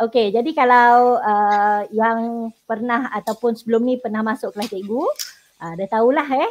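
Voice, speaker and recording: This woman has a plain, everyday voice with ordinary pitch variation. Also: fairly high pitch for a woman, fairly slow pace. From Sabah, Malaysia. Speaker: secondary school teacher. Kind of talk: online tutoring lesson.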